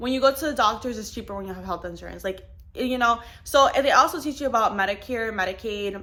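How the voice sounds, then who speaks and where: A woman's bright, sharp voice, fairly high in pitch, with vocal fry, a fairly quick pace and ordinary pitch variation. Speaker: insurance agent and vlogger. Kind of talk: casual vlog talk. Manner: casual, many fillers.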